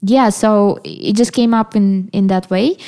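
A woman with a fairly high pitch and a dark, mellow tone speaks at a fairly slow pace on a very clean recording with a silent background. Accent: Russian. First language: Russian. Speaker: musician. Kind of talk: interview conversation. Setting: at a kitchen table in Berlin. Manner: hesitant, many fillers.

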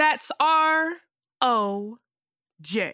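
On a very clean recording with a silent background, a woman uses a raised, projected voice with a bright, sharp, dramatic and theatrical tone. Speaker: performer reading a monologue. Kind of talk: theatrical monologue performed in character. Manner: campy, sassy, flamboyant, animated; dramatic, theatrical, with snaps and laughs.

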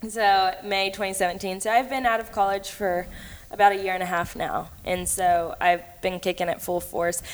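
At a moderate pace, a woman with a Texan accent speaks at a medium pitch with fairly even intonation. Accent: Texan US Southern. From Texas (Cleveland, Texas). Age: 20s. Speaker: hunter and social media personality. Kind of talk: casual interview chat.

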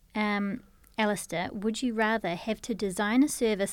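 In a very clean recording with a silent background, a woman with a New Zealand accent talks at a moderate pace and a medium pitch. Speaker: podcast host. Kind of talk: interview; scripted intro. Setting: studio.

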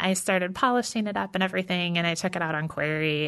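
A woman with an American accent talks at a fairly quick pace. She has an ordinary speaking voice, fairly low in pitch. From Texas, then Michigan. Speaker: novelist. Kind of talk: interview. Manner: casual, laughs often.

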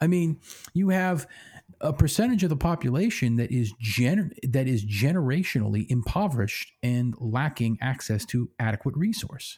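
A man speaks with an American accent in a somewhat breathy, medium-pitched voice. His intonation is lively, his pace is moderate, and the recording is very clean with a silent background. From Pennsylvania. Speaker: podcast co-host. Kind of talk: casual chat.

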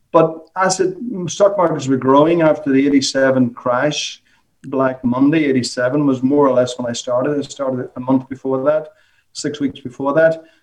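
A man's fairly high, fairly even voice at a fairly slow pace, with a Northern Irish accent. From Northern Ireland, Omagh. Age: 50s. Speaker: former stockbroker and author. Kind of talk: interview. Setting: phone or video call.

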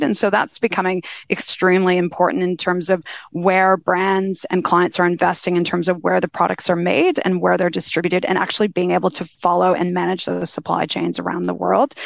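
A woman speaks at a fairly quick pace with a fairly low pitch and some vocal fry. Her intonation stays fairly even. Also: hardly any pauses, dry, close sound with no echo. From Canada. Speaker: retail sector lead and business partner at a consulting firm. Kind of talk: casual interview chat. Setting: studio.

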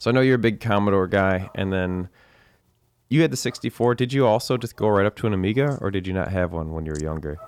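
Fast and lively, this man's intonation rises and falls as he speaks at a very fast pace. He has a fairly low pitch and an American accent. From United States. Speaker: podcast host. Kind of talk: casual chat.

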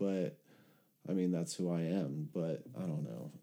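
Talking at a fairly slow pace, a man with a Californian accent has a dark, mellow tone. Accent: Californian American. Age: 30s. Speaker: recovery podcast host. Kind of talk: casual chat. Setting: video call.

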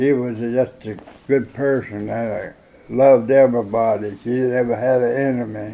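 Speaking in a Tennessee accent, a man keeps a moderate pace at medium pitch. His intonation is monotone and flat. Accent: US Southern (Tennessee). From Gordonsville, Tennessee. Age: 90s. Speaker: war veteran. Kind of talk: oral history interview. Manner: halting.

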